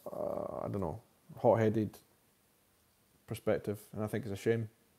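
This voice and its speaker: A man speaks at a moderate pace with ordinary pitch variation. His medium-pitched voice has a dark, mellow tone. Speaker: YouTube TV show reviewer. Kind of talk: live stream chat. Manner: hesitant, many fillers.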